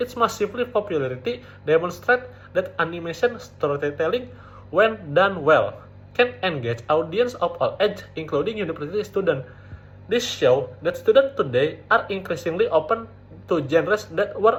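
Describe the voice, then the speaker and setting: A man at a moderate pace, music playing in the background. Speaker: university student. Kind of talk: academic presentation. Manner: occasional stuttering, not fully fluent.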